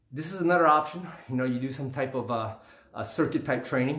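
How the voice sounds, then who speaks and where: There is audible room echo as a man talks at a fairly quick pace with ordinary pitch variation. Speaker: fitness vlogger. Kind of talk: casual workout tutorial. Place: home room. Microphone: camera far.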